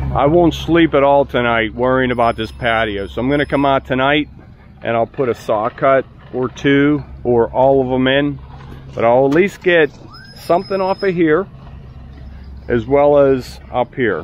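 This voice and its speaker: A man with an American accent speaks at a moderate pace in a medium pitch, with ordinary pitch variation, long and frequent pauses, and noticeable background noise. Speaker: concrete contractor. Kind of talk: on-site tutorial. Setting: outdoors on a construction site. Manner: casual, instructive.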